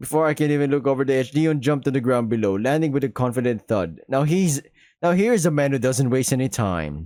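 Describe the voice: Ordinary pitch variation in plain reading aloud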